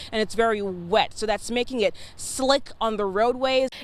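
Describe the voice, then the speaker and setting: A woman with an American accent speaks in an ordinary speaking voice, fairly high in pitch. Her pace is moderate and her pitch variation ordinary. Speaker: TV news reporter and fill-in anchor. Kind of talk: live field reporting, standing at the scene.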